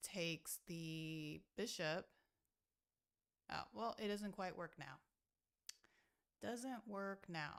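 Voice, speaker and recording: A soft-spoken voice with lively intonation and long, frequent pauses. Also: woman. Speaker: chess streamer. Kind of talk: live commentary. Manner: halting.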